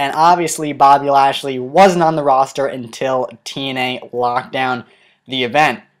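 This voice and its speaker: Delivered at a moderate pace, this very clean recording has a silent background. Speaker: wrestling news commentator. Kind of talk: casual talk to camera.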